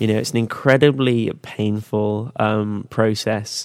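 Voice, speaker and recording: A man speaks with an English accent at a fairly low pitch. The recording is very clean, with a silent background. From England. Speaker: tech startup product head. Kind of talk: interview.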